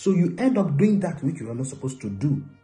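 Faint music can be heard in the background. Over it, a man talks rather quickly. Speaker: relationship preacher. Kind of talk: sermon. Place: home room. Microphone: phone near.

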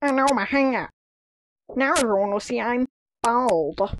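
A female-sounding cartoonish character voice, high-pitched and fairly slow. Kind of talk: animated comedy short dialogue.

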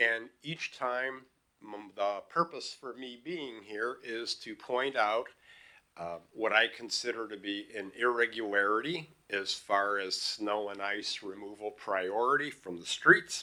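At a fairly slow pace, a man with a medium pitch and a bright, sharp tone speaks with ordinary pitch variation and big swings in loudness. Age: 70s. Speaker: retired psychologist giving public comment. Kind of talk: public comment at council meeting. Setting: council chamber at podium microphone. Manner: halting, many fillers.

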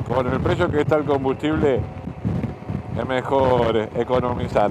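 A dry sound with no echo, a fairly slow pace, and noticeable background noise. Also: man. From Argentina. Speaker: motorcycle travel vlogger. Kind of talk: casual talk to camera. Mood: relaxed, joking. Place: motorbike. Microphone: helmet.

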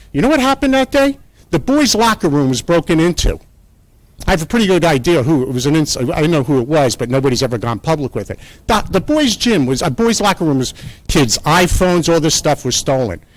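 With an American accent, a man speaks fairly quickly at a fairly high pitch, his voice swinging very widely up and down. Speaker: public commenter at council meeting. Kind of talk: public comment at town council meeting. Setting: town council meeting room. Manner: fast; animated.

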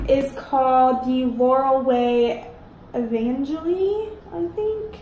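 With lively intonation and a high pitch, a woman speaks amid audible room echo and light background noise. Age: 20s. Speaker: YouTuber. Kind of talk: unboxing video. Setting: home. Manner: animated. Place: home room. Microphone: phone near.

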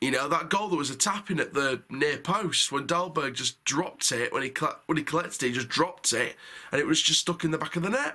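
A man's bright, sharp voice at a very fast pace with ordinary pitch variation. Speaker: football fan reviewer. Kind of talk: match review commentary. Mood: frustrated, critical.

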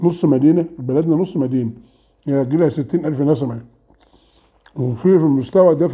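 Against a quiet background, a man with a fairly high pitch and a dark, mellow tone speaks at a moderate pace with ordinary pitch variation. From Egypt. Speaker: food vlogger. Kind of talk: casual mukbang vlog. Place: home room. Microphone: camera far.

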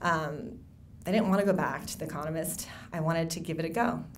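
In an American accent, a woman talks at a fairly quick pace with a fairly low pitch. Her pitch varies in an ordinary way, and there is light background noise. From Wisconsin (Racine), emigrated from the Philippines at six; Wisconsin. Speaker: novelist. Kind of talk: speech at a book event. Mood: warm, reflective, lightly humorous. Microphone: podium.

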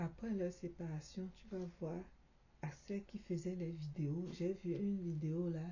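A soft-spoken, somewhat breathy woman at a fairly low pitch, with fairly even intonation and a very slow pace. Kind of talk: video commentary. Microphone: phone near.

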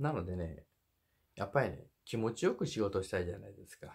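A man with a fairly low, somewhat breathy voice speaks with lively intonation and big swings in loudness. He leaves long, frequent pauses. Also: quiet background. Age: 50s. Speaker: truck driver and YouTuber; YouTuber. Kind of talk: casual monologue advice video. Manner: jokey, rambling, animated. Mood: earnest, friendly. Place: home room. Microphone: phone near.

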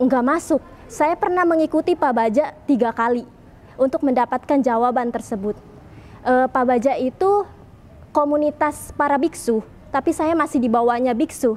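The delivery moves at a moderate pace with ordinary pitch variation. Loudness stays very even throughout. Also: woman, high pitch for a woman. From Indonesia, Tangerang; Indonesia. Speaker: convert sharing testimony. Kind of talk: testimony. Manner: casual with frequent fillers. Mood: lively, earnest, smiling at times. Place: church. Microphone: lapel.

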